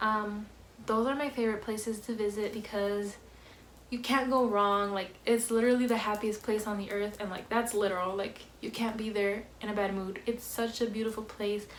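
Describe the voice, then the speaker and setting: A soft-spoken woman, fairly high in pitch, monotone and flat at a moderate pace, with audible room echo. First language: Spanish. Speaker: vlogger. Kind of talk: casual Q&A vlog. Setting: at home, family in next room. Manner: soft-spoken, quiet.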